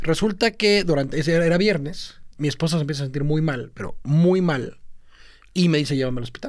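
A man speaks at a fairly quick pace. His pitch is fairly high, with ordinary variation. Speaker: podcast co-host, social media marketer. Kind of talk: casual chat. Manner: mixes Spanish and English.

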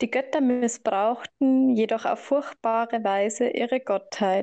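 Over a quiet background, a woman talks at a very slow pace with fairly even intonation. Her fairly high-pitched voice has a dark, mellow tone and a dry, close sound with no echo. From Germany, Bavaria (Laufen). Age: 20s. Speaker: participant. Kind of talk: group discussion. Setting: video call.

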